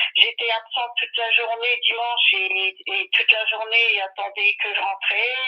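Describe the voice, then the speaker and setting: Noticeable noise fills the background. Over it, a woman speaks at a fairly slow pace. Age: 60s. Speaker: caller. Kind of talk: phone-in consultation. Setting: phone call. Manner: hesitant, many fillers.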